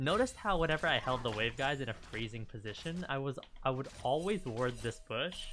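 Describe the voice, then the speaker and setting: Lively intonation marks this man's fairly quick delivery. Behind him, music is playing. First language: not English. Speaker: gaming streamer, Vayne coach. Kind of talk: gameplay commentary. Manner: animated.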